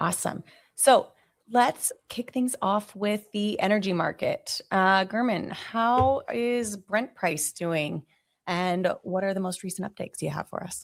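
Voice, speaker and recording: An ordinary speaking voice comes from a woman with an American accent, who talks at a medium pitch with ordinary pitch variation and a fairly slow pace. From United States. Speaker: commodity market analyst. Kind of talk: webinar presentation. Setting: online webinar.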